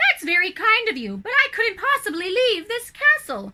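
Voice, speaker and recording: A woman does a put-on character voice, squeaky and extremely high in pitch. She keeps a moderate pace. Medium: read story. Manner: teasing, sing-song.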